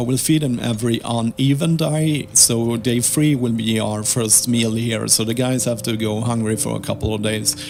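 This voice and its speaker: Noticeable background noise under a man's medium-pitched voice with ordinary pitch variation. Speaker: gaming video creator. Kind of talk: gameplay commentary. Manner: halting.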